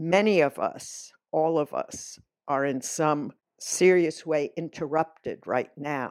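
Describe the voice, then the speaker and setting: A woman speaks very slowly in a very deep, low voice with fairly even intonation, on a very clean recording with a silent background. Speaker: philosophy professor. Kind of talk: lecture. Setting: home recording during lockdown. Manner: halting.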